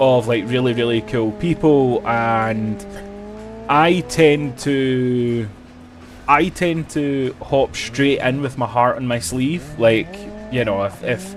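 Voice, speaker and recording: A man's very slow speech in a Scottish accent, with ordinary pitch variation and music in the background. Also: medium pitch for a man. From Scotland. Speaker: gaming streamer. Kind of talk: live stream chat.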